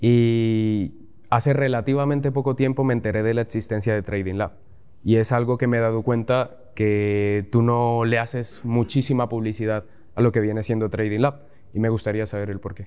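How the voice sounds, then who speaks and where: A man's dark, mellow voice holds a fairly even intonation. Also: moderate pace. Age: young. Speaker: university student and trading learner; interviewer. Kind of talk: Q&A interview questions. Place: studio. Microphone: lapel.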